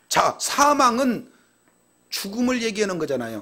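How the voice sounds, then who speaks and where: A man uses a raised, projected voice. His pace is moderate. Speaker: pastor. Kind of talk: sermon. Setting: church.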